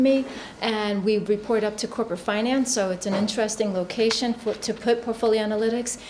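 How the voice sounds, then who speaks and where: Fairly quick, monotone, flat speech amid noticeable background noise. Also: woman. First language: not English. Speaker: finance executive. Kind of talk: panel discussion.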